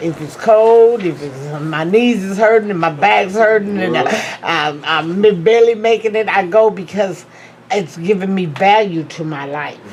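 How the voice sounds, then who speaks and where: A woman talks at a fairly slow pace in a medium pitch with ordinary pitch variation, her loudness swinging widely over noticeable background noise. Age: 60s. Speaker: class participant. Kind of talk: testimony.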